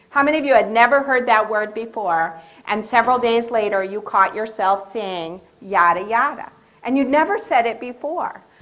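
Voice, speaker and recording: Heard with audible room echo, a woman of fairly high pitch talks at a moderate pace with ordinary pitch variation. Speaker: education behavior specialist. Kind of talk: lecture. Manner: animated.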